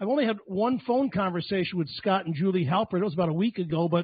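Against a quiet background, a man speaks at a very fast pace in a high voice with ordinary pitch variation. The sound is dry with no echo. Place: home room. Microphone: handheld.

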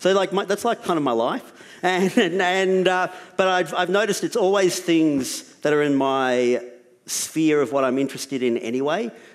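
Over a quiet background, a man with an Australian accent speaks at a moderate pace in a high pitch, with lively intonation and very even loudness. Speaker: writer and documentary maker. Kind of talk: panel discussion. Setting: stage with audience. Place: stage. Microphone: headset.

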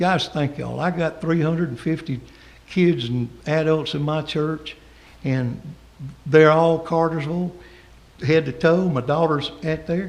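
In a Southern US accent, the speaker goes at a fairly slow pace with fairly even intonation. Long pauses come often, and room echo is audible. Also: man, fairly high pitch for a man. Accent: Southern US (Georgia). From US South, Georgia. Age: 60s. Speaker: pastor. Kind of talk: public comment at city council meeting. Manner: impassioned, preacherly.

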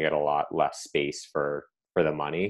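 This man talks in a monotone with flat intonation and an American accent. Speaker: finance professional. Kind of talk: panel discussion.

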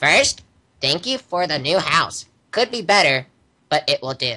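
A man puts on a character voice, high in pitch and swinging very widely up and down. He keeps a moderate pace. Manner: smug, evil.

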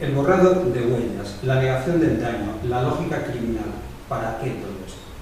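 Strong room echo and light background noise surround a man speaking at a moderate pace with lively intonation. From Spain. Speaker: documentary maker, victims' advocate. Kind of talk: prepared speech. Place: meeting room.

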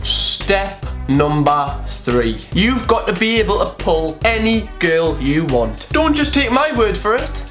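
Faint music plays behind a man who talks at a very slow pace with hardly any pauses. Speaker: comedy vlogger. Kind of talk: comedic commentary to camera. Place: home room. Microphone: phone near.

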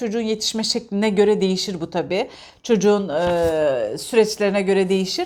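A woman talks at a medium pitch and keeps a moderate pace. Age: 40s. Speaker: parenting vlogger, parent. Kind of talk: casual monologue, book discussion. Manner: halting, many filler sounds.

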